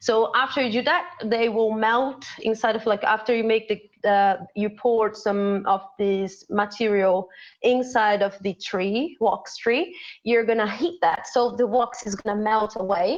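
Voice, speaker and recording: A woman with a Portuguese accent speaks at a fairly slow pace in a fairly high voice with ordinary pitch variation. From Brazil. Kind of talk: casual chat, demonstration. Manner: halting, searching for English words.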